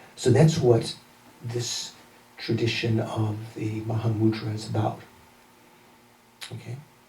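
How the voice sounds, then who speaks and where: Audible room echo surrounds a man with an American accent who speaks with fairly even intonation, big swings in loudness, and long, frequent pauses. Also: medium pitch for a man, fairly slow pace. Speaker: Buddhist teacher. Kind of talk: lecture.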